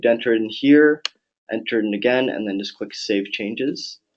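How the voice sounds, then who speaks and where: A man in a Canadian accent speaks in a plain, everyday voice at medium pitch with fairly even intonation. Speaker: software product presenter. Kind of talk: webinar tutorial. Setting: online webinar.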